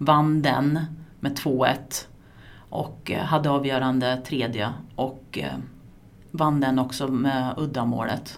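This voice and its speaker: A woman's very deep, low voice at a very slow pace, monotone and flat, with long, frequent pauses and audible room echo. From Sweden, Askersund (Närke). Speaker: former floorball player and coach, teacher. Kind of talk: casual interview. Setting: at her workplace, a school.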